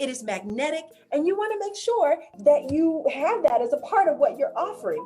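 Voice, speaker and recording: A woman's high-pitched, animated voice at a fairly quick pace, full of very wide pitch swings. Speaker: career coach. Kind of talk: online presentation with slides. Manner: fast.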